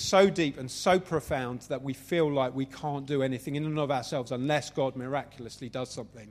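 With a London accent, a man talks at a fairly quick pace with ordinary pitch variation. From Southeast London, England. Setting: venue with live audience.

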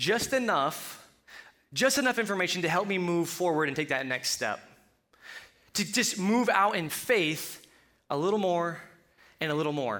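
Speaking at a moderate pace with long, frequent pauses, a man with a Colorado accent uses a bright, sharp, high-pitched voice that swings very widely in pitch. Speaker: preacher. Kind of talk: sermon. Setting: church. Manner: halting.

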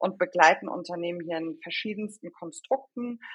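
This woman has an unremarkable speaking voice, fairly low in pitch, with ordinary pitch variation at a moderate pace. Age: 30s. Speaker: HR consultant. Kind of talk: podcast interview.

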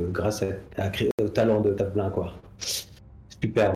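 Amid noticeable background noise and audible room echo, a man speaks with a fairly low pitch. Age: 40s. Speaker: comic book artist. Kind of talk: casual interview chat. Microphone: too far from the mic at first.

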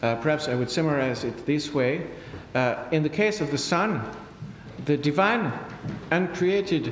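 The intonation is lively. Noticeable background noise can be heard. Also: man. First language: French. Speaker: priest and theology lecturer. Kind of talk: answering audience questions; lecture. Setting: conference with audience. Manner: formal; halting.

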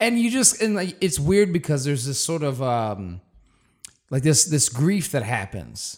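The delivery is animated and fairly slow, with very wide pitch swings. The recording is very clean, with a silent background. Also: man, fairly high pitch for a man. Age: 30s. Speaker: actor and voiceover artist. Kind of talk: casual chat. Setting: studio.

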